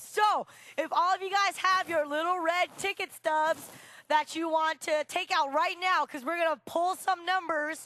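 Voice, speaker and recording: A raised, projected voice with a bright, sharp tone and animated delivery comes through dry and close, with no echo. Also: woman. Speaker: co-MC. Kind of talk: emceeing, scripted skit banter. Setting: stage with audience.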